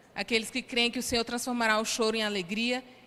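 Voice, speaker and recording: A woman talks at a very fast pace in a fairly high pitch. Her tone is bright and sharp. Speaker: preacher. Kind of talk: sermon. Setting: church.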